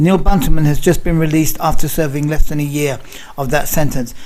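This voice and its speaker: In a London accent, a man talks with a fairly high pitch and fairly even intonation. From London, England. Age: 60s. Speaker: nutritional researcher, activist. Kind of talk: interview; casual chat. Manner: halting, repeats words.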